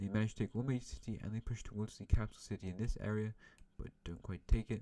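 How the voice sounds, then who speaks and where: A man talks at a very fast pace. His voice is dark and mellow, at a fairly low pitch. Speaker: YouTuber narrating an alternate-history game. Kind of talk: gameplay commentary.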